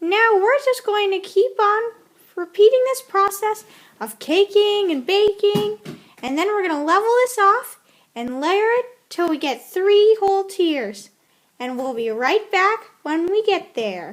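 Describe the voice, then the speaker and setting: A woman's squeaky put-on character voice, extremely high-pitched, at a fairly slow pace. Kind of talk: cooking show presenter parody. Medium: comedy sketch. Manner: chatty, enthusiastic.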